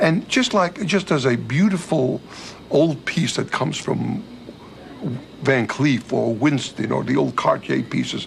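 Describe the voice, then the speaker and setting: A man talks fairly slowly while noticeable background noise runs underneath. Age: 60s. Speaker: diamond dealer and cutting business owner. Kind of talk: documentary interview.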